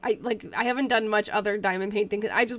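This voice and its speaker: Animated, very fast talking. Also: woman. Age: 20s. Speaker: teacher and diary researcher livestreamer. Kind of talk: casual livestream chat and diary reading. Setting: live stream.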